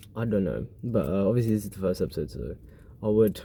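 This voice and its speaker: A man speaks with a dark, mellow tone at a fairly low pitch. His pace is fairly quick. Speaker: podcast host. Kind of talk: casual monologue. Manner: fast.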